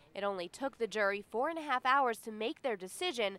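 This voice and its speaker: A woman talks at a fairly quick pace in a fairly high voice with lively intonation. She has an unremarkable speaking voice. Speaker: TV news reporter. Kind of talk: TV news report.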